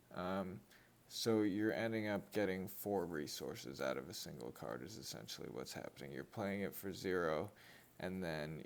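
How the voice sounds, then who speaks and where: Very deep and low, a man's voice with vocal fry moves at a fairly slow pace under lively intonation. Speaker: card-opening youtuber. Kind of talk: casual unboxing commentary.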